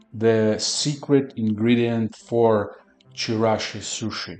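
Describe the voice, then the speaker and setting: Faint music plays in the background. A man speaks at a very slow pace. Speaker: home cooking vlogger. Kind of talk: casual cooking tutorial. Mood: playful, joking. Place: kitchen. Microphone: camera far.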